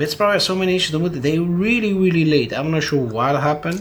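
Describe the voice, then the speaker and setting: Audible room echo surrounds a man who speaks with an Italian accent, a fairly high pitch, and lively intonation. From Italy. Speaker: PC builder and YouTuber. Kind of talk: casual talk during a hardware build video. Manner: halting, with many fillers and repetitions.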